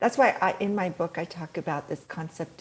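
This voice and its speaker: Here a woman is speaking. Her voice is somewhat breathy. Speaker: peak performance and mindset coach. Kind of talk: interview.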